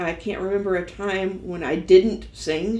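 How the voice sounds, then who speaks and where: This woman talks fairly slowly in a medium pitch, with a dark, mellow tone and a Texan accent. Audible room echo surrounds her voice. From Texas, Dallas. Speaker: singer-songwriter. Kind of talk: interview monologue.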